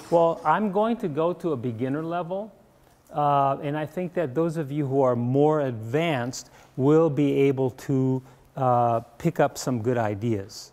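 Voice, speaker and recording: A normal speaking voice moves at a fairly slow pace with lively intonation. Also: man, fairly high pitch for a man. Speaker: acupuncture teacher. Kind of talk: workshop lecture. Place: classroom.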